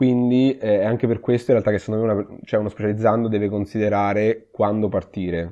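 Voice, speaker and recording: Speaking at a very fast pace, a man keeps a monotone, flat intonation and very even loudness. His pitch is fairly low and his tone dark and mellow. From Umbria, Italy (Perugia). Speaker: emergency physician. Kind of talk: interview. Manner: halting, repeats words.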